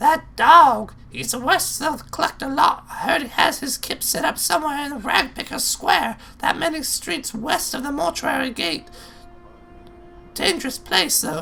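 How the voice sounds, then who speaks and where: Clear music plays in the background beneath a high-pitched, put-on character voice. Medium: actual play. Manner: gruff, sardonic.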